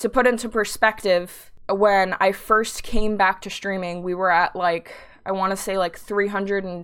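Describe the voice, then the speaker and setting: In a very clean recording with a silent background, a woman speaks at a moderate pace and medium pitch with monotone, flat intonation. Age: 20s. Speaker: Twitch streamer. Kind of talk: solo podcast monologue. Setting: live stream.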